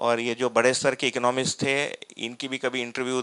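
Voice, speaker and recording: A man with a Tamil accent speaks in a monotone, flat intonation. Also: very clean recording, silent background. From Tamil Nadu, India. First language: Tamil (speaking Hindi). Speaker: workshop facilitator, philosophy teacher. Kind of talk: personal testimony in a lecture. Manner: hesitant, many fillers.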